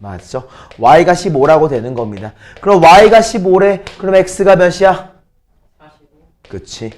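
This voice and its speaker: At a very slow pace, a man with a high pitch and lively intonation speaks with long, frequent pauses. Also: big swings in loudness. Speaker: math teacher. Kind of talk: lecture.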